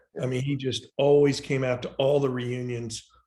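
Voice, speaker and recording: The voice sounds somewhat breathy. Its intonation stays fairly even. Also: man. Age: 60s. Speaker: tennis supporter. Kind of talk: casual chat.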